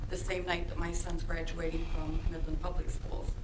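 A woman's voice with noticeable noise behind it. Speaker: parent giving public comment. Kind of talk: public comment address. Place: meeting room. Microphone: podium.

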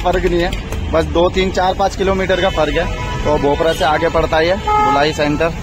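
Clear music plays behind a man speaking at a fairly slow pace. The sound is dry, with no echo. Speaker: motovlogger. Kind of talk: casual vlog chat. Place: street. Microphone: helmet.

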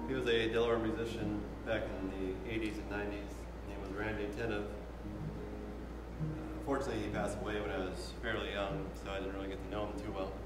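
A man talking at a fairly quick pace with ordinary pitch variation, amid loud background noise and audible room echo. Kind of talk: casual spoken story between songs. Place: hall.

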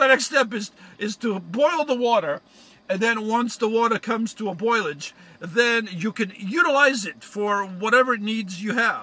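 A man's raised, projected voice carries a bright, sharp tone at a fairly slow pace, the sound dry with no echo. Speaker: van life vlogger. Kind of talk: comedic tutorial vlog. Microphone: phone near.

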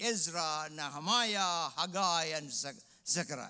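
A man's raised, projected voice, bright and sharp in tone, over a quiet background. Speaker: preacher. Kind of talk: sermon. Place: church. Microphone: headset.

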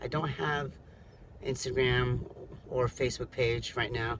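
Noticeable background noise surrounds a man speaking fairly slowly. His intonation is fairly even, with vocal fry. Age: 30s. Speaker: rideshare driver and vlogger. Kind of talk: casual vlog monologue. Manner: halting, many fillers. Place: car. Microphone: phone near.

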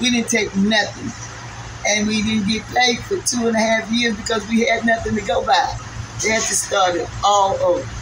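Over noticeable background noise, a woman with a fairly high pitch talks at a moderate pace, her intonation fairly even and her loudness very even. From New York. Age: 70s. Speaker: 9/11 survivor. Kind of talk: interview answer. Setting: outdoors. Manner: emotional.

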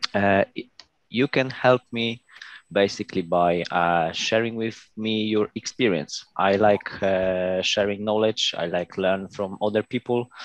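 A man with a Polish accent speaks at a fairly low pitch and a fairly slow pace, with fairly even intonation and long, frequent pauses, recorded dry with no echo against a quiet background. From Poland. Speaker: Lean Six Sigma practitioner. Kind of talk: project presentation. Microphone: headset.

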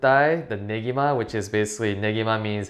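Against a quiet background, a man's pitch varies in an ordinary way. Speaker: cooking instructor. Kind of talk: tutorial. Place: kitchen.

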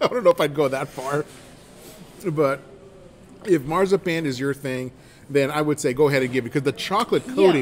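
A man talks at a fairly quick pace with ordinary pitch variation against light background noise. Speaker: food reviewer. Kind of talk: casual vlog chat. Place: cafe. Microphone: phone near.

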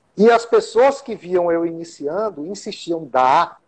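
Lively intonation marks a man's fairly slow speech. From Teresina and Caxias, Northeast Brazil. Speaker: local political candidate, communicator. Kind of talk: interview. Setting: online live stream. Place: home room. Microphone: video call.

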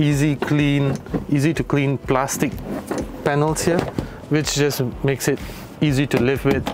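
A man is speaking. Music plays in the background. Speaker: car reviewer host. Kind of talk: casual review walkaround. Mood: cheerful, laughing often. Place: car. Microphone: lapel.

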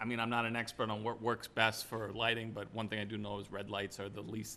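Fairly low for a man, his voice has a bright, sharp tone and moves at a fairly quick pace in a monotone, flat intonation.

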